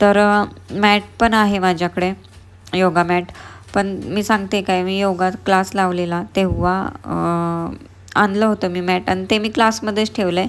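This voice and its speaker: A woman speaks at a medium pitch with a flat, monotone delivery. The recording is very clean, with a silent background. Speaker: vlogger. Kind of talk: casual vlog talk.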